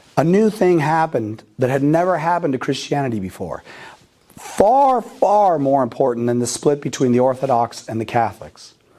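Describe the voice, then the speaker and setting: Using a normal speaking voice, a man with an American accent talks at a moderate pace, his fairly high pitch carried by lively intonation. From United States. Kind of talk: lecture. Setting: parish hall with live audience.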